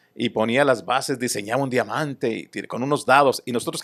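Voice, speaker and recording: A man speaks at a medium pitch. The recording is very clean with a silent background and a dry, close sound with no echo. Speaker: baseball broadcaster, guest being interviewed. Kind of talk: interview answer, recounting childhood.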